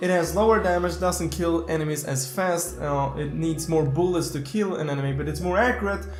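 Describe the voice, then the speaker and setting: Over music in the background, a man talks at a fairly quick pace with lively intonation and audible room echo. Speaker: gaming YouTuber. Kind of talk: gaming tutorial. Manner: fast.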